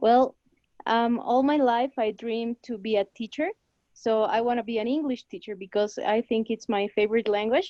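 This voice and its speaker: A woman with a Spanish accent and a dark, mellow tone, at a moderate pace and fairly even intonation, in a dry, close sound with no echo. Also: fairly high pitch for a woman. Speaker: language student. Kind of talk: class participation.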